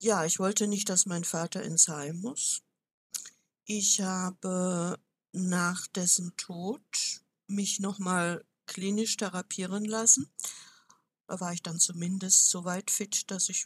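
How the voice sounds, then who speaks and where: Somewhat breathy speech comes at a very slow pace with long, frequent pauses. Intonation stays fairly even, and the sound is dry and close with no echo. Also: woman, medium pitch for a woman. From southwestern Germany, village. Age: 70s. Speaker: retired manager and German teacher. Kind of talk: interview.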